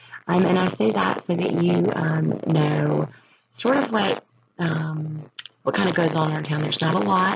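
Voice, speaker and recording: This woman talks quietly at a moderate pace. Her loudness stays very even. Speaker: middle school teacher. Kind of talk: presentation. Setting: at home, recording in her room. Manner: hesitant, many fillers.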